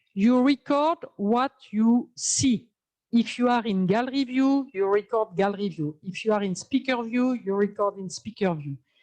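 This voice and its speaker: At a moderate pace, the speaker uses lively intonation in a dark, mellow tone. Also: woman. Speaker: Zoom training instructor. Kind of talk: tutorial. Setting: video call. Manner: halting, many fillers.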